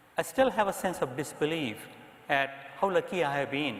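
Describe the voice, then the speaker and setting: A man speaks in a high pitch at a moderate pace. Noticeable background noise is present. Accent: Indian. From India. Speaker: psychiatrist, association president. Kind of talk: presidential address. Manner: formal.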